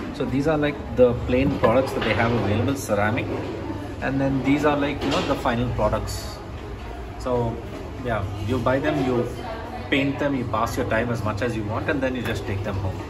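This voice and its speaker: Through loud background noise, a man talks at a moderate pace, leaving long, frequent pauses. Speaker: travel vlogger. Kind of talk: casual vlog chat. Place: cafe. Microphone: phone near.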